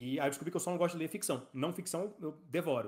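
A man talks very fast with ordinary pitch variation over a quiet background. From Brazil, Belo Horizonte (Minas Gerais); Minas Gerais, Brazil. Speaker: startup co-founder and operations director; podcast guest. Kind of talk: casual interview. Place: home room.

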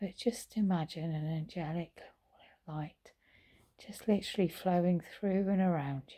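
Soft-spoken and fairly low in pitch, a woman with a warm, gentle, dark, mellow tone speaks at a fairly slow pace with long, frequent pauses, ordinary pitch variation and big swings in loudness over a quiet background. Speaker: meditation teacher and vlogger. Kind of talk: guided meditation. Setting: recorded at home in lockdown. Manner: soft, slow, soothing. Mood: calm, soothing, gentle. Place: home room. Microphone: phone near.

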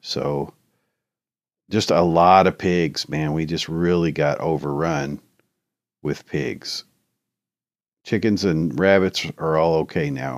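Speaking very slowly with long, frequent pauses, a man uses a very deep, low pitch and fairly even intonation. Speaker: gaming YouTuber. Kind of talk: tutorial. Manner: casual, filler-heavy.

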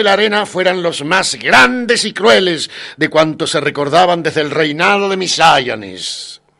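A man with a bright, sharp tone and lively intonation, fairly slow in pace yet with hardly any pauses. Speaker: audiobook narrator. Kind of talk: literary audiobook reading, solemn epic fantasy narration with character dialogue. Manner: measured, grave storytelling pace; shifts to a stately, authoritative tone for the wizard's speeches.

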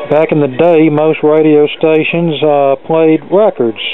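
The speech comes at a fairly slow pace in a dry sound with no echo, with faint music in the background. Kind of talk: casual show-and-tell narration. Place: home room.

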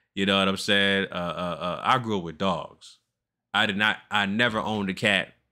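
A man speaks at a fairly low pitch with a bright, sharp tone. The background is quiet. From US West Coast (Los Angeles). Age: 40s. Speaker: reaction video creator. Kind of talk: video reaction commentary. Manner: animated. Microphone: studio mic.

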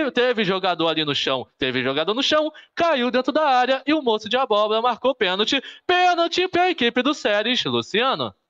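Against a quiet background, a man speaks with very wide pitch swings but very even loudness. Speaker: sports commentator. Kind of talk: live sports commentary. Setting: stadium, live broadcast. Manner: rapid-fire, repetitive play-by-play; animated, boastful, excited at goals. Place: home room. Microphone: phone near.

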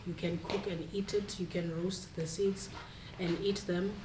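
Noticeable background noise sits behind a woman speaking with monotone, flat intonation. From South Africa. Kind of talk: panel discussion. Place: hall. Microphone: camera far.

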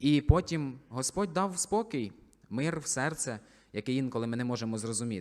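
An ordinary speaking voice from a man, medium in pitch, at a moderate pace with lively intonation. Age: 20s. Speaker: soldier and church deacon. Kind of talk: testimony.

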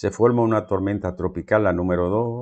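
A man talks at a moderate pace. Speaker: news commentator. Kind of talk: news commentary. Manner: animated.

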